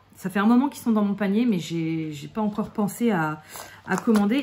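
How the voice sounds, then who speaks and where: A relaxed tone over noticeable background noise. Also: woman. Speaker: craft YouTuber. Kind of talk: casual tutorial while colouring. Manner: slow; relaxed, hesitant with fillers.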